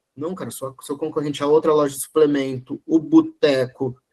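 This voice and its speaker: A man speaks in an ordinary speaking voice. His pitch is fairly high and his pace moderate. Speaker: e-commerce consultor, guest lecturer. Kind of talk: online lecture.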